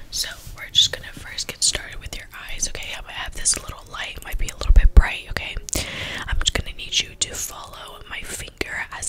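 Whispering at a fairly quick pace, a woman swings widely in loudness. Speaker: ASMR creator playing a doctor. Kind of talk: soft-spoken ASMR role-play. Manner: soft-spoken ASMR eye exam instructions. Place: home room. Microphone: studio mic.

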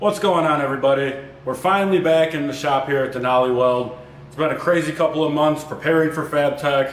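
At a fairly quick pace, a man talks with ordinary pitch variation amid light background noise and audible room echo. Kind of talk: product presentation. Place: workshop.

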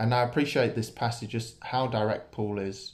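The man is speaking at a moderate pace. His intonation stays fairly even. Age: 20s. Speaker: church preacher. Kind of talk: sermon. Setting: church. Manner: casual, hesitant with many fillers. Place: home room. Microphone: phone near.

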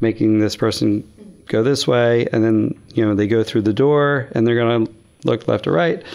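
The background stays quiet. A man is the one talking. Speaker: guest. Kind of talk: interview answer. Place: studio. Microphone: studio mic.

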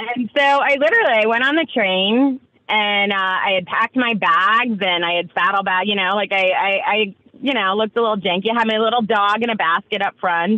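A woman with an American accent and a plain, everyday voice speaks at a fairly quick pace in a medium pitch, with ordinary pitch variation and very even loudness. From New York. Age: 40s. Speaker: entrepreneur. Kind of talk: casual interview chat. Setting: video call.

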